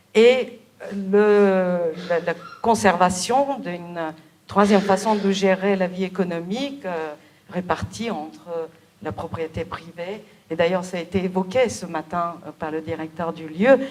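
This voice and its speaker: A woman speaks very slowly at a medium pitch, with ordinary pitch variation. Her loudness swings widely, and background noise is noticeable. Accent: Bulgarian. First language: Bulgarian (speaking French). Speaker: novelist. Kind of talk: interview. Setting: theatre event with audience. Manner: hesitant, many fillers.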